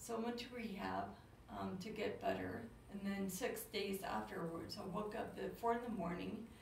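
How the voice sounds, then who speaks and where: A woman speaks at a fairly slow pace. Noticeable background noise and audible room echo surround her voice. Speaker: brain injury patient. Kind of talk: interview. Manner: slow speech.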